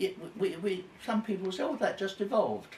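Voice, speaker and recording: The speaker is a man. His pitch is high. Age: 90s. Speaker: elderly man interviewed by his carer. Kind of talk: casual interview chat. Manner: halting.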